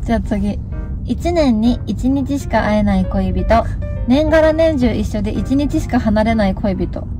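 Over clear background music, a woman with a Yamaguchi accent speaks at a fairly slow pace. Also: dry sound with no echo. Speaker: driver and co-host. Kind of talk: casual chat while driving. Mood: playful, laughing. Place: car. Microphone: phone near.

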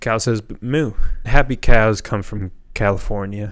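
A man's intonation stays fairly even while the background remains quiet. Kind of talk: deadpan comedic rant. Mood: deadpan, mock-serious. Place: home room. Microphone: handheld.

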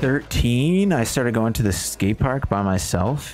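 A man's voice over background music. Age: 20s. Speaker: gaming streamer. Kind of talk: live gameplay commentary, chatting with viewers. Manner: casual, animated.

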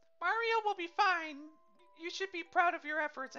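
A put-on character voice pitched extremely high. Faint music plays in the background. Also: moderate pace.

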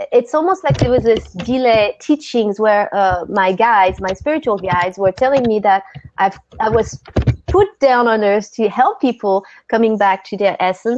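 With a French accent, a woman speaks at a fairly high pitch with ordinary pitch variation over noticeable background noise. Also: moderate pace. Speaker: breathwork teacher and author; breathwork teacher. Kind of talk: interview. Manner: halting. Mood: calm, reflective. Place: home room. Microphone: video call.

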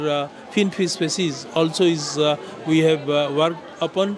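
Noticeable background noise runs behind the recording. A man with a high voice talks at a moderate pace. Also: dry sound with no echo. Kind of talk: interview answer. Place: hall. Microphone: handheld.

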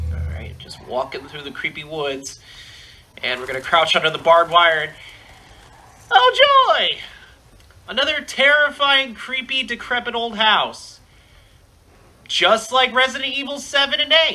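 Speech comes at a fairly slow pace, broken by long, frequent pauses, over noticeable background noise. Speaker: gaming video creator. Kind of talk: let's play commentary. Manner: animated.

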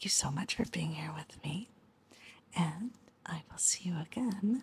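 Soft-spoken and somewhat breathy, a woman talks in a gentle tone at a fairly slow pace. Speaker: ASMR chemistry tutor. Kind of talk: soft-spoken outro of an ASMR tutorial. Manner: soft, gentle sign-off.

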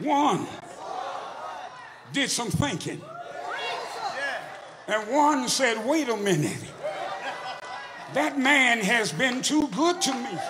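Over noticeable background noise, a man with an extremely high pitch uses a raised, projected voice and lively intonation, going at a very slow pace with long, frequent pauses. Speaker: pastor. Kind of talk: preaching, closing a sermon with a whooping finish. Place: church. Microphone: handheld.

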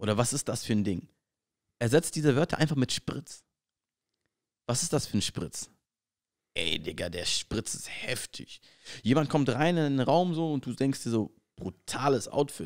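A man speaks at a moderate pace with a medium pitch and lively intonation. He leaves long, frequent pauses against a quiet background. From Berlin, Germany. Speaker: professional basketball player, podcast co-host. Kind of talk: casual chat. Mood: joking, playful slang. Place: studio. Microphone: studio mic.

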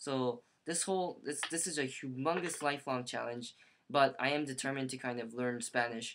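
A Korean accent at a moderate pace, with ordinary pitch variation over light background noise. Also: man. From US. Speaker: aspiring social worker. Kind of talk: video monologue. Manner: halting. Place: home room. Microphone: webcam.

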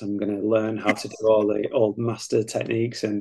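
A man with a Lancashire accent speaks at medium pitch in a dark, mellow tone. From northern England, Lancashire near Manchester. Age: 30s. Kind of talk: casual chat. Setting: video call.

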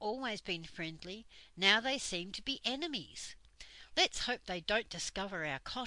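The reading is delivered in an unforced voice. Intonation rises and falls in a lively way.

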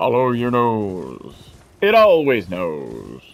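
At a very slow pace, a man uses a put-on character voice at medium pitch. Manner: bright, cheerful, cartoonish.

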